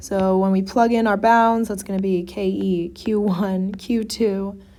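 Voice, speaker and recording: At a fairly slow pace, a woman speaks with a dark, mellow tone and a medium pitch. Her intonation is fairly even, and there is audible room echo. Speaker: physics tutor. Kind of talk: tutorial. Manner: casual.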